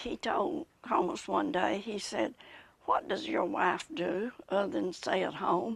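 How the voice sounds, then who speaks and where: With a Southern US accent, a woman speaks at medium pitch and a fairly slow pace, her pitch swinging very widely over noticeable background noise. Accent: Southern American. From Macon County, Tennessee. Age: 80s+. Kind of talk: interview answer.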